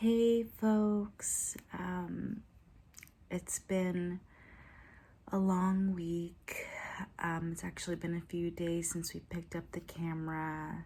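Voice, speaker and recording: Speaking at a very slow pace with long, frequent pauses, a woman uses a dark, mellow tone, a fairly low pitch, fairly even intonation and a somewhat breathy sound. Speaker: van life vlogger. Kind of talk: casual vlog outro to camera. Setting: at home at night. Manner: soft, hushed; hesitant, many filler ums.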